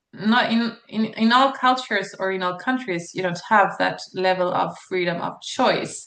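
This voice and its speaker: Hardly any pauses interrupt a woman speaking at a moderate pace with a medium pitch and a Swedish accent. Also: ordinary pitch variation. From Sweden. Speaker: psychologist and channel host. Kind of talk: channel introduction monologue. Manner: hesitant, many fillers.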